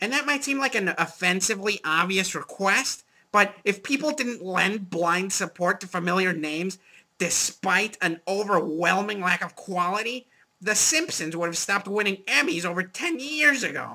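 The speaker uses a cartoonish character voice at a middle pitch. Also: moderate pace. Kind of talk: movie review show. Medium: puppet.

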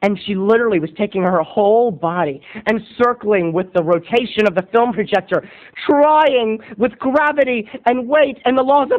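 A man speaks at a fairly quick pace. The background is quiet. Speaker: video blogger. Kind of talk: comedic storytelling vlog. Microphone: webcam.

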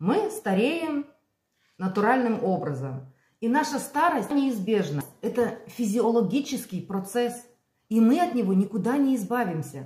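Amid audible room echo, a woman with a dark, mellow tone and vocal fry speaks at a fairly slow pace, her pitch swinging very widely between long, frequent pauses. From Belarus. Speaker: vlogger. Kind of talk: casual vlog monologue. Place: kitchen. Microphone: phone near.

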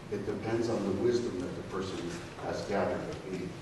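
Against noticeable background noise and strong room echo, a man talks at a fairly quick pace. His fairly low voice stays monotone and flat. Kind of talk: conference presentation. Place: meeting room. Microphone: camera far.

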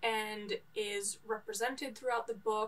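This woman has a fairly high-pitched voice and speaks with an American accent. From New York. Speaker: book vlogger. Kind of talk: casual book review monologue. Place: home room.

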